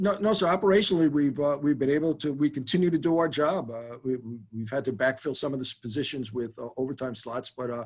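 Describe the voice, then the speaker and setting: Speaking very fast with hardly any pauses, a man with a New York accent talks in a fairly high pitch. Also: ordinary pitch variation. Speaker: fire chief. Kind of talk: budget hearing Q&A. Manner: halting, many fillers.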